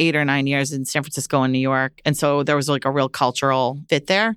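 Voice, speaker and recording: A woman with an American accent speaks at a very fast pace and a very deep, low pitch. The sound is dry and close with no echo, on a very clean recording with a silent background. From Massachusetts (Lowell). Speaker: real estate executive. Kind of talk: interview.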